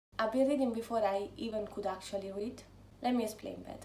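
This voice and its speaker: An Italian accent with fairly even intonation, audible room echo and noticeable background noise. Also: woman. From Italy, near Rome. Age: 20s. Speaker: book vlogger. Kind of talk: casual vlog talk.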